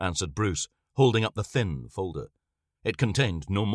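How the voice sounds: A natural reading voice over a quiet background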